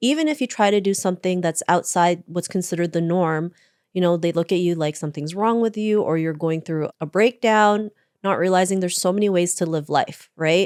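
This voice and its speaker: A woman with a Canadian accent speaks in a normal speaking voice, fairly low in pitch with ordinary pitch variation, at a fairly quick pace. The recording is very clean with a silent background, dry and close with no echo. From Canada, Toronto. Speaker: author and keynote speaker. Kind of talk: interview.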